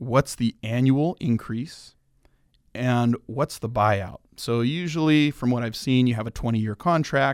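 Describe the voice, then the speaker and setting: Recorded very cleanly with a silent background, a man with a normal speaking voice talks at medium pitch and a fairly slow pace, with ordinary pitch variation and a dry, close sound with no echo. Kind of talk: casual radio interview, friendly chat.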